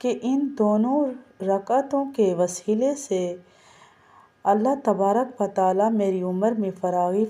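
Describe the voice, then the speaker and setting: A woman speaks with a fairly high pitch. Her tone is dark and mellow. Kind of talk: religious instruction talk.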